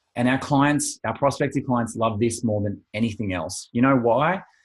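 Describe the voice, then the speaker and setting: Somewhat breathy male voice at medium pitch and a moderate pace, against a quiet background. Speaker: financial planning coach. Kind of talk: webinar presentation. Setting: online webinar.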